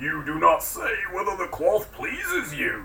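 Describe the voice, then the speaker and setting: A man uses a put-on character voice, pitched high. He goes at a moderate pace over clear background noise. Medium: read story.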